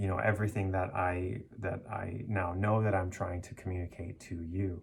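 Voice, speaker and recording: A man's somewhat breathy voice sits at a fairly low pitch with ordinary pitch variation. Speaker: life coach. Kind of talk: casual monologue. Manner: halting.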